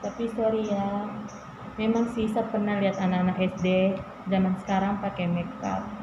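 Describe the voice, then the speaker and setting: Amid noticeable background noise and audible room echo, a woman speaks at a medium pitch and moderate pace with monotone, flat intonation. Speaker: beauty vlogger. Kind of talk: makeup tutorial. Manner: halting; casual.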